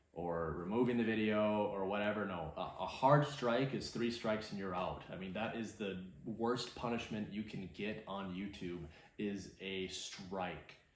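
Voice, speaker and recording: Audible room echo surrounds a man's voice. His pitch is fairly low, with ordinary pitch variation. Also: fairly slow pace. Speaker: outdoors and truck YouTuber. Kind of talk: casual vlog monologue. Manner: casual with many fillers.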